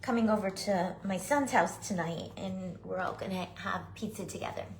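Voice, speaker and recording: With vocal fry and audible room echo, a woman speaks at medium pitch and a fairly slow pace, her tone animated and her intonation lively. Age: 60s. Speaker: craft tutorial host. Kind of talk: live craft tutorial. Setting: livestream. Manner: chatty, animated.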